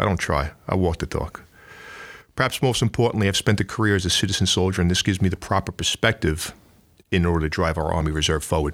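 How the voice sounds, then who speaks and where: In a New York accent, a man talks very fast with a very deep, low voice and ordinary pitch variation on a very clean recording with a silent background. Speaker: Army Reserve command sergeant major. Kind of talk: interview. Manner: energetic, humorous.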